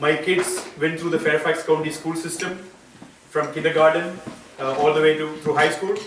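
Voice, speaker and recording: A man with an Indian accent and a fairly high pitch speaks at a moderate pace in a monotone with flat intonation, with audible room echo and noticeable background noise. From India (Kerala). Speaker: school board candidate. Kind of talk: campaign speech. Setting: gathering in a private home.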